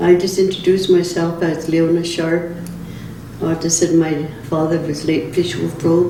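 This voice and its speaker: With audible room echo and noticeable background noise, a woman speaks at a fairly slow pace in a fairly low pitch and a monotone, flat intonation. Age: 80s+. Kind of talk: storytelling interview.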